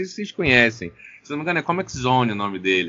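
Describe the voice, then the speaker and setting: The speaker is a man. His voice moves in very wide pitch swings. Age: 30s. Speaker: podcast co-host. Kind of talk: casual chat.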